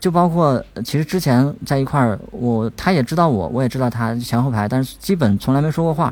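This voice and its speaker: A man with an unremarkable speaking voice talks at a medium pitch with lively intonation. His pace is fairly quick, with hardly any pauses. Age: young. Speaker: blind podcast team member. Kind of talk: casual chat.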